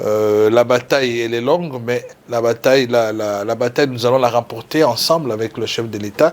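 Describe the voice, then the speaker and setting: A moderate pace with fairly even intonation. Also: man. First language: Lingala or other Congolese language (speaking French). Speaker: lawyer and political activist. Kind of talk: TV interview. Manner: halting with many fillers and repetitions.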